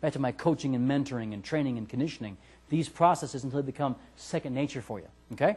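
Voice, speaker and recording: The speaker races along at a very fast pace in an animated tone, somewhat breathy, with ordinary pitch variation and big swings in loudness. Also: man, fairly high pitch for a man. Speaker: sales trainer. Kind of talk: seminar lecture.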